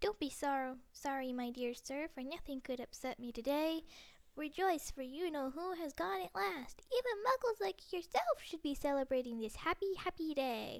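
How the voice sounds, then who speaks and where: A woman does a put-on character voice, squeaky and high-pitched. Her pitch swings very widely at a moderate pace. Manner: cheerful, gleeful.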